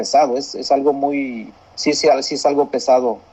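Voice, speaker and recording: A man's voice over noticeable background noise. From Mexico. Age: 40s. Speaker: university graduate, father. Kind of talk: interview.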